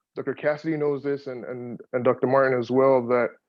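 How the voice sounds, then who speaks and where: A man speaks with a Yoruba accent. His intonation stays fairly even. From Nigeria, Lagos. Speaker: poet, audience participant. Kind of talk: audience comment in Q&A. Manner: halting, many repetitions.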